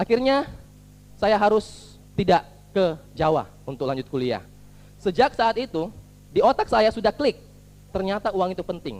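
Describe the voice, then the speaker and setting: Speaking at a moderate pace with long, frequent pauses, a man uses a high, animated voice. His pitch swings very widely. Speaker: motivational speaker. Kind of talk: motivational talk.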